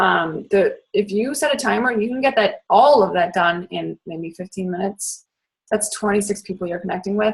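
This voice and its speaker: A somewhat breathy woman's voice with an American accent and ordinary pitch variation. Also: medium pitch for a woman. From Boston area. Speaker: fitness coach. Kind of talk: training talk. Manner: fast; animated.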